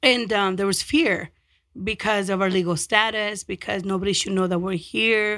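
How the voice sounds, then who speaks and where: A woman speaks in a Spanish accent with fairly even intonation. The recording is very clean, the background silent. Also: medium pitch for a woman, moderate pace. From Mexico, then North Denver from age 13. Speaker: community nonprofit leader. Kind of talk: interview.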